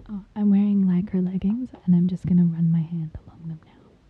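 A woman speaks at a medium pitch and a fairly quick pace. Her voice is somewhat breathy, with monotone, flat intonation. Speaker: podcast host. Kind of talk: casual chat.

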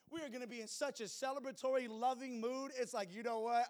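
A man speaks in an animated tone. His pitch is extremely high. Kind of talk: sermon.

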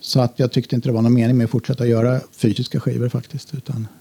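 A somewhat breathy voice with a dark, mellow tone talks at a very fast pace in a dry, close sound with no echo. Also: man. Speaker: electronic musician. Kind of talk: interview.

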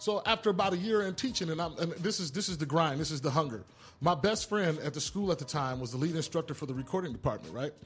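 A man with an American accent speaks at a very fast pace. His pitch is fairly high and his intonation lively. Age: 40s. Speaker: music producer and media school dean. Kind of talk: casual interview.

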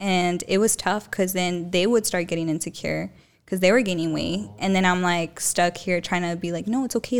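A woman with an American accent talks at a fairly quick pace with hardly any pauses, in an unremarkable speaking voice of medium pitch and ordinary pitch variation. The recording is very clean, with a silent background. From Tucson, Arizona. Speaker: TikTok influencer. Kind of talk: casual chat. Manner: laughs often, chatty.

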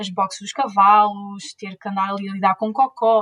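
A woman with an unremarkable speaking voice, fairly high in pitch, at a fairly slow pace, in a dry, close sound with no echo. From Portugal, Leiria. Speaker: zero-waste influencer and PhD student. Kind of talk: interview.

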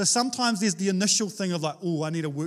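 In a New Zealand accent, a man speaks with lively intonation. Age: 30s. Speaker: pastor. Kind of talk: sermon. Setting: church.

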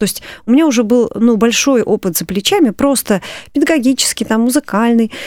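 Recorded with dry, close sound and no echo, a normal speaking voice moves at a moderate pace with ordinary pitch variation. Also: woman. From Moscow, Russia. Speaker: composer and church choir director. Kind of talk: radio interview. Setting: studio.

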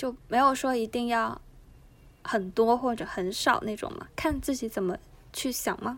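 A woman with a high pitch talks at a fairly slow pace, varying her pitch in an ordinary way. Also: very clean recording, silent background. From Guangdong, China. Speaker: unemployed former copywriter. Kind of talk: casual chat.

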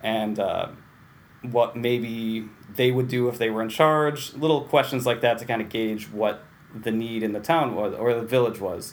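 Using a normal speaking voice with an American accent, a man talks at a medium pitch and moderate pace with fairly even intonation. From Central New York (Waterville, near Utica). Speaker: library director. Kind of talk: interview.

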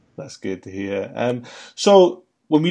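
A man with a British accent and lively intonation, against a quiet background. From UK. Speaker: podcast host. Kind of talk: casual chat.

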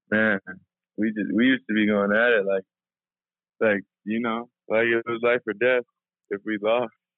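A man talks at a moderate pace in a flat monotone. Long, frequent pauses break up his speech. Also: medium pitch for a man. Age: 20s. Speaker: college basketball player. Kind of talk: interview. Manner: halting.

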